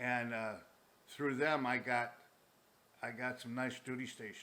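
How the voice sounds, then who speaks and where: A man with a medium-pitched, bright, sharp tone speaks at a fairly slow pace in a monotone, flat delivery, with audible room echo around him. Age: 70s. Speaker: war veteran. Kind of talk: casual chat; storytelling. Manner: halting.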